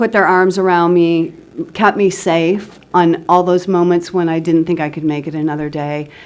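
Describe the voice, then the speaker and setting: A woman talks with a fairly low pitch. Her intonation is monotone and flat. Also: moderate pace. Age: 60s. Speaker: recovering alcoholic speaker. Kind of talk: testimony.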